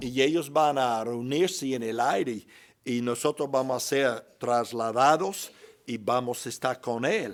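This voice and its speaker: In a very clean recording with a silent background, a man with a normal speaking voice talks at a fairly slow pace in a medium pitch with ordinary pitch variation. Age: 60s. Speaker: pastor. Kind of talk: Bible class teaching. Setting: church.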